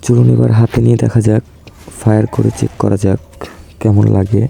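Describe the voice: A man speaks at a fairly quick pace with a fairly low pitch and vocal fry. His tone is dark and mellow, with little pitch movement.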